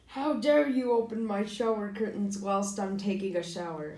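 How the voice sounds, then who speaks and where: Fairly high-pitched, put-on character voice. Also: moderate pace. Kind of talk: pompous, formal. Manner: indignant.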